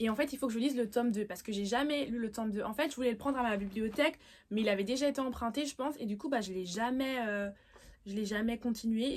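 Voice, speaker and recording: Very fast speech from a woman, fairly high in pitch, its variation ordinary. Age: young. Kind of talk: casual vlog about books. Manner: hesitant, many fillers.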